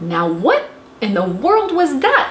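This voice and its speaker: A woman in a put-on character voice, high-pitched with very wide pitch swings, over clear background noise. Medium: read story.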